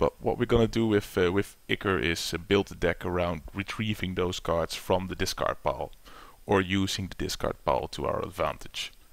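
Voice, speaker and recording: On a very clean recording with a silent background, a man with a non-native accent speaks at a moderate pace. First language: not English. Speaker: gaming YouTuber. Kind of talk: gameplay tutorial. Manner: hesitant, many fillers.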